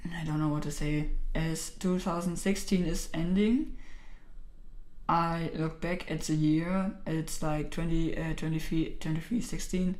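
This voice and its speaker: Speaking at a fairly slow pace in a German accent, a woman has a fairly low pitch and fairly even intonation, with audible room echo around her. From Germany. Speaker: YouTuber. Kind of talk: casual vlog. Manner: halting, many fillers.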